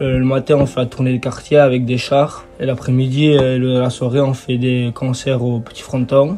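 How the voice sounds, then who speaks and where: Music plays in the background as a man talks at a fairly slow pace. His medium-pitched voice stays monotone and flat. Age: 20s. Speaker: festival committee president. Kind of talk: podcast interview. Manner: hesitant, frequent filler sounds.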